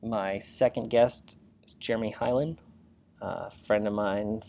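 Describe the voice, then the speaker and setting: With fairly even intonation, a man talks in a dark, mellow tone at a fairly low pitch. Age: 30s. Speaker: podcast host. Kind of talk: solo podcast introduction monologue.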